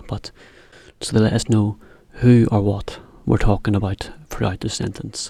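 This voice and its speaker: The man's voice is somewhat breathy, with a dark, mellow tone and fairly low pitch. He speaks at a moderate pace in a monotone, flat intonation. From Britain. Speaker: English teacher for Japanese learners. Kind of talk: educational explainer, English lesson. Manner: clear, relaxed, friendly, conversational.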